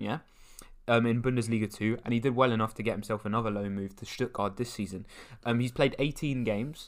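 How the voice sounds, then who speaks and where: On a very clean recording with a silent background, a man with a normal speaking voice talks at a fairly quick pace, at medium pitch and with fairly even intonation. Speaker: football podcast co-host. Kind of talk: casual chat. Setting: studio.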